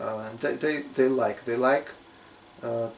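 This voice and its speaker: A man with a Russian accent at medium pitch. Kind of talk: casual talk to camera.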